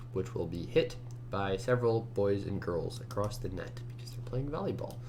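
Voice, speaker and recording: With audible room echo, a man's somewhat breathy voice sits at a medium pitch, moving at a moderate pace with ordinary pitch variation. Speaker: competitive programmer. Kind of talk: screencast commentary while coding. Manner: casual, halting with fillers.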